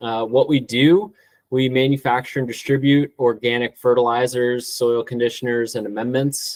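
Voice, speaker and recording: With an ordinary speaking voice, a man talks at a moderate pace and medium pitch, his intonation fairly even. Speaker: organic turf care specialist. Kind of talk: webinar presentation.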